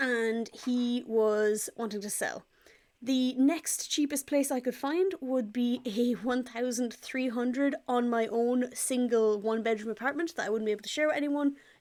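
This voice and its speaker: Recorded very cleanly against a silent background, a woman speaks in a high voice with an Irish accent. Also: ordinary pitch variation, moderate pace. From Ireland. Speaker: pet vlogger. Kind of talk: casual vlog update. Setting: parents' living room.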